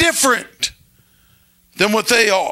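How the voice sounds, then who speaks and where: An animated man's raised, projected voice against a quiet background. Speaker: pastor. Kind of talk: sermon to a live congregation. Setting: church with congregation. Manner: animated, call-and-response preaching, pausing for amens; emphatic, conversational. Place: church. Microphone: handheld.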